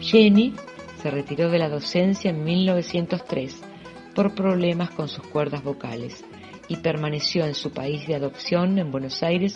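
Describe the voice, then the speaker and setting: A woman at a fairly slow pace, fairly low in pitch with ordinary pitch variation, music in the background. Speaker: audiobook reader. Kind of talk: audiobook reading.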